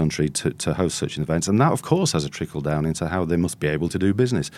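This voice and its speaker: This man's voice sits very deep and low in pitch, with a dark, mellow tone. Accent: Yorkshire. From northern England (North Yorkshire). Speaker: journalist/commentator. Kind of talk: casual chat.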